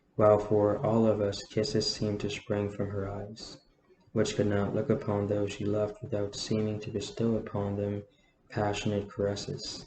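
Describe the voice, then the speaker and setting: At a moderate pace, a man speaks in a somewhat breathy voice with a fairly low pitch and monotone, flat intonation. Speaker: amateur audiobook reader. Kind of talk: novel reading.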